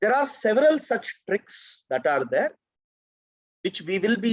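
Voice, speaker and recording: Spoken with a South Indian accent, the voice swings very widely in pitch. The sound is dry and close, with no echo. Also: man. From South India, Karnataka. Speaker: teacher. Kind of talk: lecture. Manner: slow.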